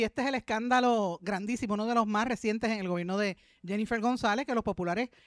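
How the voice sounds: Fast-paced speech with ordinary pitch variation and a dry, close sound with no echo.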